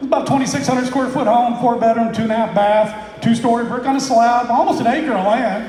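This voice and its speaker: A man's extremely high-pitched voice, very fast and animated, with ordinary pitch variation, audible room echo and noticeable background noise. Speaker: real estate investor. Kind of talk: seminar talk to live audience.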